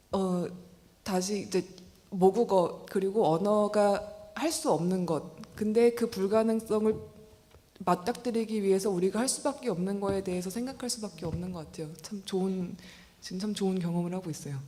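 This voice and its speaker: Music can be heard behind the voice. The delivery keeps a moderate pace, and its pitch varies in an ordinary way. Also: woman, medium pitch for a woman. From South Korea. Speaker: writer. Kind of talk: interview answer. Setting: literary forum with audience.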